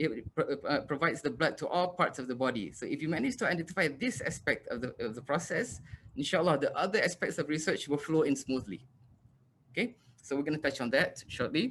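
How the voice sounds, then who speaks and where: A man speaks at a fairly quick pace with a fairly high pitch. His intonation is lively. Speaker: university lecturer. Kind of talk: lecture. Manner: fast.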